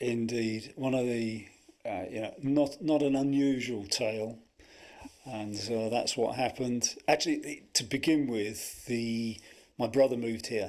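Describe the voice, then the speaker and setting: With a strong Buckinghamshire accent, a man talks at a fairly slow pace with fairly even intonation. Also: medium pitch for a man. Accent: strong Milton Keynes. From England, Milton Keynes. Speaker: former band associate. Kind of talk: casual chat. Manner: halting.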